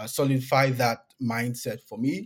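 A man with a Nigerian accent speaks at a medium pitch on a very clean recording with a silent background. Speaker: PhD student in computer science. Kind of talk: casual interview.

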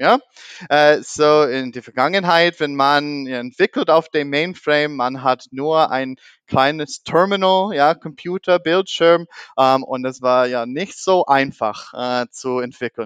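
In an American accent, a man with a fairly high pitch and ordinary pitch variation speaks at a very slow pace, with a dry, close sound with no echo and a quiet background. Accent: American accent in German, non-fluent. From US (half American, half German). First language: English (speaking German). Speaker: podcast host. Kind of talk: casual interview. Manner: halting, many fillers.

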